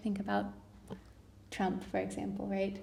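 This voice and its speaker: A woman's voice with audible room echo. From Southern California, near Los Angeles. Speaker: academic researcher. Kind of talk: live podcast conversation. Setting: live recording with audience.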